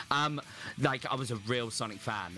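A Southern English accent over noticeable background noise. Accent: southern English, slight rural. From Hampshire, England. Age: 30s. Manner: loud, animated.

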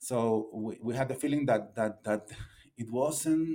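A man speaks at a very slow pace, medium in pitch, with a dark, mellow tone and ordinary pitch variation. The recording is very clean, with a silent background. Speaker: novelist. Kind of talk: interview. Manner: halting, many repetitions.

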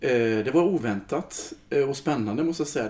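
Lively intonation carries a man's dark, mellow tone at a fairly slow pace. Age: 40s. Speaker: choir leader. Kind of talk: casual chat.

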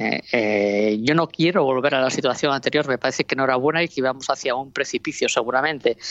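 This woman's voice is very deep and low, moving at a very fast pace with hardly any pauses. Her loudness stays very even, her pitch varies in an ordinary way, and the sound is dry and close with no echo. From Asturias, Spain (Oviedo). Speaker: regional trade promotion director. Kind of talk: interview. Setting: remote call.

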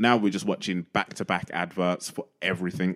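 A man with a normal speaking voice, fairly low in pitch, fairly quick and fairly even in intonation, in a very clean recording with a silent background. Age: 30s. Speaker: DJ and former stand-up comedian. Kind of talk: casual chat.

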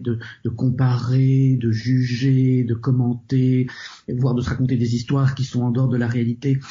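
The voice is somewhat breathy and moves at a fairly slow pace. Its intonation is flat and monotone, and its loudness stays very even. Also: man, medium pitch for a man. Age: 50s. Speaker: psychotherapist and author. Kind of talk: interview. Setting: remote call. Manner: halting.

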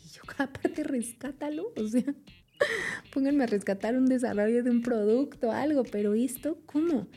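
At a moderate pace, a woman speaks with a high pitch, ordinary pitch variation, a dark, mellow tone and big swings in loudness. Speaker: food engineer and nutrition communicator. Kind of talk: interview.

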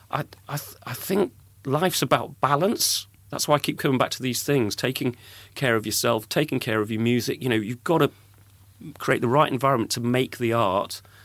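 Speaking with an English accent at medium pitch, a man keeps a moderate pace and ordinary pitch variation on a very clean recording with a silent background. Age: 50s. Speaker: podcast host and music industry veteran. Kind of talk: casual interview.

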